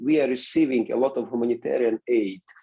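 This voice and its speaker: Here a man speaks with a non-native accent. His pitch is medium and his pace is moderate. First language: not English. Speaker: seminary president and pastor. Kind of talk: interview. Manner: halting.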